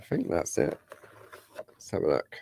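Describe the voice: A croaky man's voice with a dark, mellow tone at a fairly slow pace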